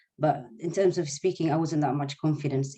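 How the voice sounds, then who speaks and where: The speaker has an Arabic accent. The pace is fairly quick. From Sudan (Eritrean family). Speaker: nursing student, former refugee. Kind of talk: webinar interview. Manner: halting.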